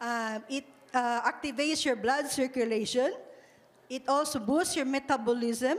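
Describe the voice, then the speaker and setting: Speaking at a fairly slow pace, a woman uses a high pitch with ordinary variation. She has a Visayan Filipino accent. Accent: Filipino (Cebuano) English. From Philippines. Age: 60s. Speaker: product distributor; speaker. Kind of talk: testimony. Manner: halting. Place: hall. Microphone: handheld.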